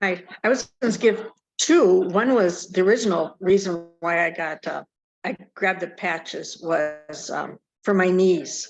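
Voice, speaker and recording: A woman with an ordinary speaking voice speaks at a fairly slow pace and a medium pitch. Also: ordinary pitch variation. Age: 60s. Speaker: participant sharing testimonial. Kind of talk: testimony.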